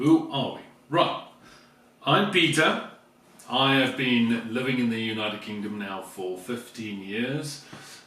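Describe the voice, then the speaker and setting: Over noticeable background noise and audible room echo, a man speaks at a medium pitch and a fairly slow pace. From South Africa. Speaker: vlogger, teacher. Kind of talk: casual chat.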